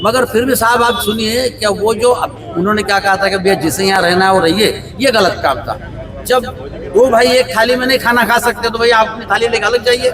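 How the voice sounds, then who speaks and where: Over crowd noise in the background, a man speaks at a high pitch with fairly even intonation. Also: moderate pace. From Maharashtra, Vidarbha (Wardha district). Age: 60s. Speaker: retired medical representative, interviewee at protest. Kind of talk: street interview. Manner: halting, with fillers.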